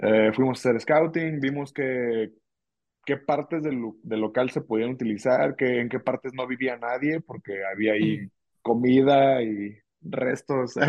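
Here is a man with a plain, everyday voice, a medium pitch and ordinary pitch variation. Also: fairly slow pace. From Ciudad Guzmán, Jalisco, Mexico. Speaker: drummer. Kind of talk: casual interview chat.

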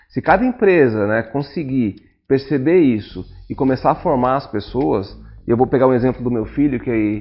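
Speaking at a moderate pace, a man with medium pitch has an unremarkable speaking voice. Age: 40s. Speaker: technology and innovation head. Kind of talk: casual interview chat.

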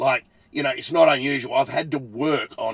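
A man with an Australian accent at a moderate pace. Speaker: podcast host, car tuner. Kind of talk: casual solo podcast talk. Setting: recording inside a parked car.

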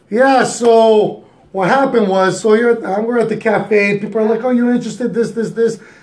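A man talks at a moderate pace in a high-pitched voice with monotone, flat intonation. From Greek background. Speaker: podcast guest co-host. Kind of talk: casual chat.

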